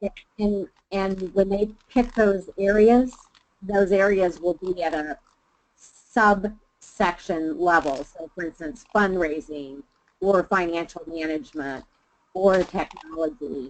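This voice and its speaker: Her loudness swinging widely, a woman speaks at a very slow pace and a medium pitch with ordinary pitch variation. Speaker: webinar presenter. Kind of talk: webinar discussion. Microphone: muffled, fading in and out; video call.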